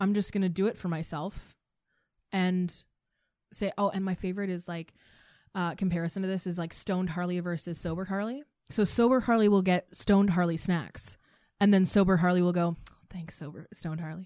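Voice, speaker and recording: This woman has a medium pitch and a dark, mellow tone, talking at a fairly quick pace with fairly even intonation. The recording is very clean, with a silent background. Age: 20s. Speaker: sex educator. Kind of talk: casual chat. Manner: loud.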